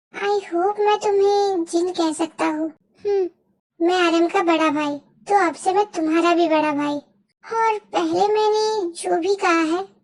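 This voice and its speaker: A squeaky, put-on character voice moves at a moderate pace with fairly even intonation. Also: woman. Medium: audio drama. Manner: hesitant, stumbling.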